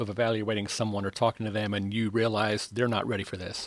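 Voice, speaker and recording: Very fast speech from a man with an American accent at a medium pitch. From North Carolina. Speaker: podcast co-host and audio engineer. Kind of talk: podcast interview. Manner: laid back.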